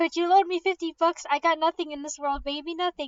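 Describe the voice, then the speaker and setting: A woman's squeaky, put-on character voice at an extremely high pitch, very fast and monotone with flat intonation. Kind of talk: stage melodrama. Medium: read story.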